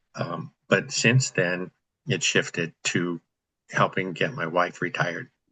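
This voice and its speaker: Very slowly, a man speaks with a very deep, low pitch and lively intonation. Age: 60s. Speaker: real estate investor, group host. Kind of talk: group video call discussion. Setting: video call.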